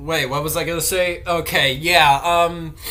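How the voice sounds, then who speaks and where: Noticeable background noise and audible room echo are both present in the recording. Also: man. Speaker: reaction youtuber. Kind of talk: reaction commentary. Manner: stuttering.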